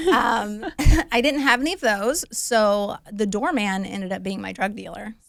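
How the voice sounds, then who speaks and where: This woman has a fairly high pitch, ordinary pitch variation, a moderate pace and big swings in loudness. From US, small rural town. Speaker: former beauty queen, recovery advocate. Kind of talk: podcast interview, personal testimony. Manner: casual, with fillers.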